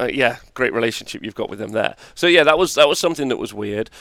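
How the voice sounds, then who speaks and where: The speaker is a man. He has an English accent. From England. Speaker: tabletop wargaming tournament player and commentator. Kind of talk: casual chat. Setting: livestream.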